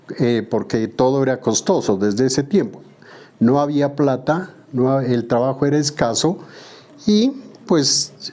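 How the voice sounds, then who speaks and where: This man has an unremarkable speaking voice, fairly high in pitch, with ordinary pitch variation, very even loudness and a fairly slow pace. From southern Colombia, Pupiales, Nariño. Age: 60s. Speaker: woodworker. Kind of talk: interview testimony.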